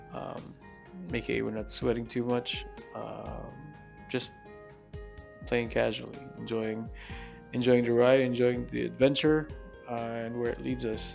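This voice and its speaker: A man talks fairly slowly with long, frequent pauses as music plays in the background. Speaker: gaming video creator. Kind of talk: gameplay voiceover commentary. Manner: casual, hesitant with filler words.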